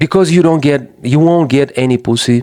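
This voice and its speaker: A man with a non-native accent speaks in a dark, mellow tone with ordinary pitch variation. The recording is very clean, with a silent background. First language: not English. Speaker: men's issues commentator. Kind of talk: casual monologue. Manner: halting, with frequent false starts.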